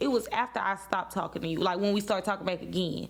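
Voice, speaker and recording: A woman in a Louisiana accent speaks in an animated tone. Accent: Louisiana Southern US. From Louisiana, Baton Rouge. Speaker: podcast host. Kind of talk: casual chat.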